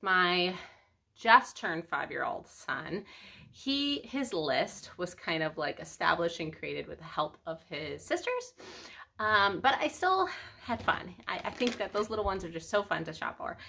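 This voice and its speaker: The voice has a bright, sharp tone, moves at a moderate pace and swings very widely in pitch. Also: woman, medium pitch for a woman. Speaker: family vlogger. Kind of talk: casual chat. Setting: at home. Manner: soft-spoken.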